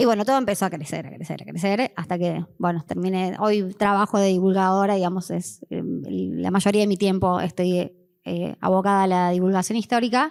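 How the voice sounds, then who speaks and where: A woman with a Cordoba Argentine accent speaks at a medium pitch and a moderate pace with hardly any pauses and ordinary pitch variation, in a very clean recording with a silent background. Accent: Cordoba accent, Argentina. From Argentina, Córdoba. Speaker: history teacher and online history communicator. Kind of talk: conference panel talk. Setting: conference with audience. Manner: hesitant, many fillers.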